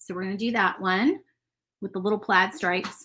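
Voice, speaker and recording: Her tone is bright and sharp, with a Southern US accent. The woman is captured in a very clean recording with a silent background. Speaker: crafter and shop owner. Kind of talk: live-stream painting tutorial. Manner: fast.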